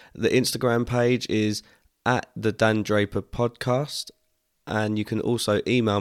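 On a very clean recording with a silent background, a man with fairly low pitch speaks at a fairly slow pace in a monotone, flat intonation. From England, Essex (Harlow). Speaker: podcast host. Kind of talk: casual monologue introduction.

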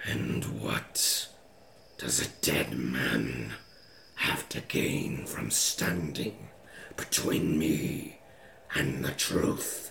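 A man puts on a raspy character voice, very deep and low, speaking at a very slow pace over clear background noise. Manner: imposing, resonant.

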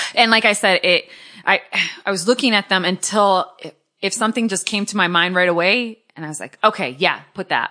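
Her tone bright and sharp, a woman speaks at medium pitch with ordinary pitch variation and big swings in loudness over a quiet background. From New England, Portuguese-American. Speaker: podcast host. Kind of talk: casual chat. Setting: studio.

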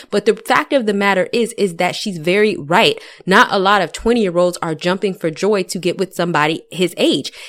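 A woman talks at a fairly quick pace, with hardly any pauses. Her pitch sits in the medium range. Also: ordinary pitch variation. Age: 30s. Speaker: YouTuber, dating advice commentator. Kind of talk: commentary reacting to video clips.

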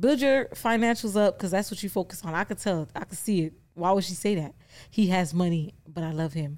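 Here is a woman speaking at a medium pitch. She has a plain, everyday voice. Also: lively intonation, fairly quick pace. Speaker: podcast host. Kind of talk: casual chat.

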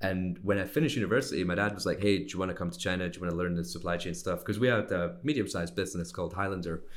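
Very fast speech from a man with a Scottish accent and a very deep, low pitch. Room echo is audible. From Scotland. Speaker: sourcing and manufacturing consultant. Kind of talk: interview. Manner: casual, conversational.

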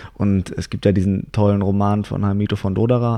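A man speaks in a fairly low pitch at a moderate pace. He has an ordinary speaking voice with fairly even intonation. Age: 20s. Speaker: actor and writer. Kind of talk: casual chat. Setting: on a couch in a living room.

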